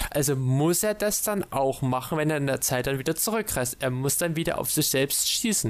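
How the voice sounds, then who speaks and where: Over noticeable background noise, a man with a fairly high pitch and lively intonation speaks at a moderate pace, with very even loudness and hardly any pauses. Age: 20s. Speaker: podcast co-host. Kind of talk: casual chat.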